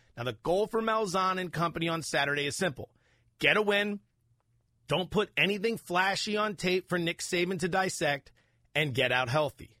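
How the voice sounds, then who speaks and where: In a very clean recording with a silent background and a dry, close sound with no echo, a man with an American accent speaks at a moderate pace in a high, bright, sharp voice with ordinary pitch variation. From Pennsylvania (Allentown). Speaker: sports betting podcast host.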